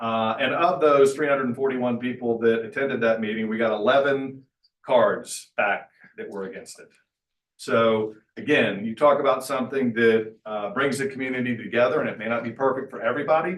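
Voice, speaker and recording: A man uses a normal speaking voice at medium pitch, with ordinary pitch variation. He talks at a fairly quick pace, and his loudness swings widely. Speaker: mayor. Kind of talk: public meeting presentation. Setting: public meeting.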